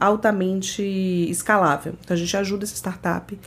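A woman's medium-pitched voice, an ordinary speaking voice with fairly even intonation. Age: 30s. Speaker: startup program manager at a tech company. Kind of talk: podcast interview.

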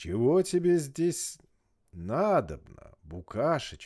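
In a put-on character voice, a man sounds raspy and booming, with a fairly high pitch. He speaks at a fairly slow pace on a very clean recording with a silent background. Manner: roaring, contemptuous.

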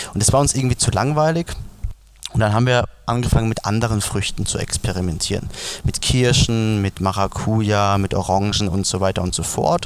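In an ordinary speaking voice, the words come at a fairly quick pace with ordinary pitch variation. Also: man, fairly low pitch for a man. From Palatinate, Germany. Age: 20s. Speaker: beverage brand founder. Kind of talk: interview.

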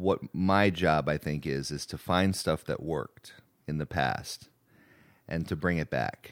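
A man with a very deep, low pitch and vocal fry is heard on a very clean recording with a silent background. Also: ordinary pitch variation, fairly slow pace. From Rhode Island. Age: 40s. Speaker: business association director. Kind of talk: casual interview.

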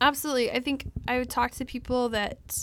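A woman with an American accent talks in a monotone, flat intonation on a very clean recording with a silent background. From Texas. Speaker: missionary physical therapy worker. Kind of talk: interview, casual testimony. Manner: hesitant, frequent fillers.

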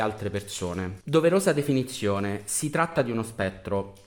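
A man is speaking. His pitch swings very widely. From Rome, Italy. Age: 30s. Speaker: social media manager and online activist. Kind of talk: interview.

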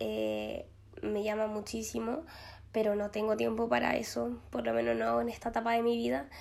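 A woman talks at a moderate pace, and room echo is audible around her voice. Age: 20s. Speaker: podcast host. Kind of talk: casual monologue. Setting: empty glass-walled office. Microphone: possible echo in empty room.

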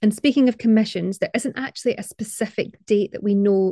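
The voice is dark and mellow, somewhat breathy, in a Scottish accent. The sound is dry and close with no echo, over a quiet background. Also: woman. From Scotland. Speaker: podcast host, art historian. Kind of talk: scripted narration.

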